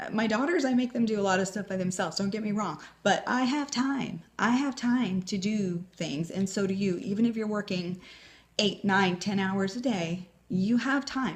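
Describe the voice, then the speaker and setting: At a moderate pace, a woman speaks in a medium pitch with a somewhat breathy voice. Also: ordinary pitch variation. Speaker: home business coach. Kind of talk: motivational video talk. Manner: animated.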